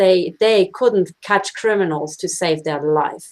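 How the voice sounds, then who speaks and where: At a moderate pace, a woman talks with medium pitch. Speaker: investigator and activist. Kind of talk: online panel discussion. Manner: animated.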